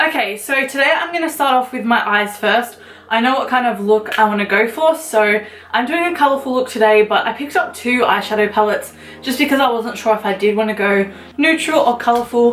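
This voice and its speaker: Over noticeable background noise, a woman with an Australian accent talks at a fairly quick pace in a high pitch with ordinary pitch variation. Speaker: beauty vlogger. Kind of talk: makeup tutorial. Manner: casual, chatty.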